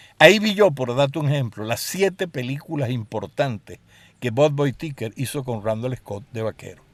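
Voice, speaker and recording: A man with a Caracas accent speaks at a medium pitch and a moderate pace. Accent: Venezuelan Spanish (Caracas). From Venezuela, Caracas. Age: 70s. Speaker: filmmaker. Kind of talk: interview.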